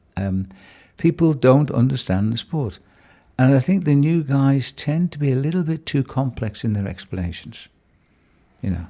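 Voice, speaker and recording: On a very clean recording with a silent background, a man with a dark, mellow tone and medium pitch speaks at a moderate pace with lively intonation and long, frequent pauses. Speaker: veteran cycling commentator. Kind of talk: interview answer, casual conversation. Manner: relaxed, chatty, storytelling.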